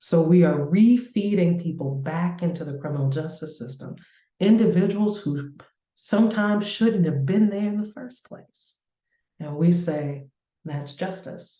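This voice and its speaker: A woman with an American accent, fairly low in pitch and somewhat breathy, with a dark, mellow tone, lively intonation, big swings in loudness and a fairly slow pace. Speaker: community organizer. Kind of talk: panel discussion.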